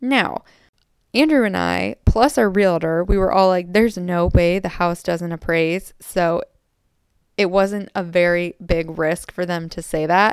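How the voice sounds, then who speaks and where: With an animated tone and ordinary pitch variation, a woman speaks at a fairly slow pace and a fairly low pitch on a very clean recording with a silent background. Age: 20s. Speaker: podcast host. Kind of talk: casual monologue.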